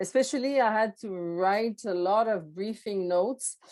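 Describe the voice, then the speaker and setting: Woman with a Quebec accent at a fairly slow pace. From Quebec, Montreal. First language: French. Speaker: former public service executive and coach. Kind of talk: podcast interview. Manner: halting, many fillers.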